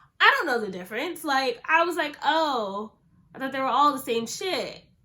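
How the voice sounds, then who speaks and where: Her voice is raised and projected, with very wide pitch swings. This woman speaks at a high pitch. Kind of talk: casual talk to camera.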